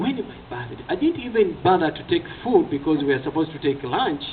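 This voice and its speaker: A man with lively intonation at a fairly quick pace, over noticeable background noise. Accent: Ugandan. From Uganda. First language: Ugandan language (not English). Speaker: evangelist. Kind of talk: testimony. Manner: hesitant with fillers.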